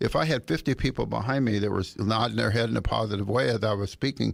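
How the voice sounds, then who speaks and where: A man with a fairly low pitch, vocal fry and lively intonation speaks on a very clean recording with a silent background. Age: 80s+. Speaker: bicycle safety advocate. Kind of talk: radio interview. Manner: halting, many repeated words.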